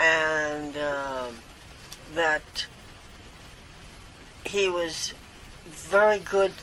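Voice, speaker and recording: A woman with a very deep, low pitch at a very slow pace. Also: ordinary pitch variation. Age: 90s. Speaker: daughter of a famous baseball player. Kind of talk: interview answer. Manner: sharp, spry.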